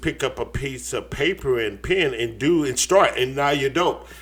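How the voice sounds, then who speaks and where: An American accent marks this man's animated tone. His intonation is lively. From US West Coast, San Francisco Bay Area. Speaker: cartoonist and artist. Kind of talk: casual chat.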